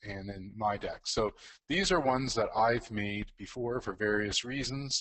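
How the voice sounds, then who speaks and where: This man has a fairly low pitch and ordinary pitch variation. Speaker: educational technology presenter. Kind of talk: tutorial. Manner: fast; hesitant, many fillers.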